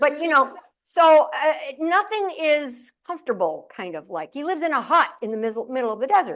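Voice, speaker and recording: A woman with an American accent talks fairly quickly at a high pitch in an animated tone, with very wide pitch swings and big swings in loudness. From upstate New York (Syracuse). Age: 70s. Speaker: motivational speaker and humorist. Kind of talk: keynote speech. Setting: stage with audience.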